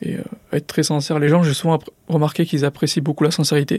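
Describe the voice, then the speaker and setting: On a very clean recording with a silent background, a man speaks in a fairly high pitch. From France, Drancy (Seine-Saint-Denis), Paris suburbs. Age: 20s. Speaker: former student, entrepreneur. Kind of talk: interview testimony. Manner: filler-heavy, hesitant.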